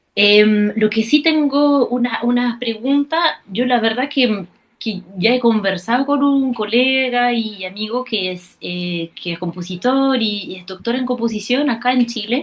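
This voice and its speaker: A woman speaks with a non-native accent at a fairly slow pace, with hardly any pauses. Her pitch is fairly high. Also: ordinary pitch variation. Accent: foreign accent noted in Spanish. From France. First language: French (speaking Spanish). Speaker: prospective doctoral student, musician. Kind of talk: Q&A question. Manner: halting, repeats words.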